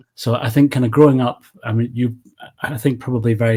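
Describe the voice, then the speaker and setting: A man speaks at a very fast pace in a dark, mellow, somewhat breathy tone, with a medium pitch and fairly even intonation. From Scotland, east coast. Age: 40s. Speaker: movie channel creator. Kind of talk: casual chat.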